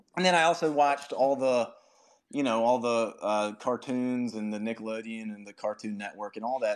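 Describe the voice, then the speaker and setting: A man with an ordinary speaking voice, medium pitch, ordinary pitch variation and a moderate pace, against a quiet background. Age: 30s. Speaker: podcaster making children's stories. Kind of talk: casual chat. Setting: home office, remote audio space.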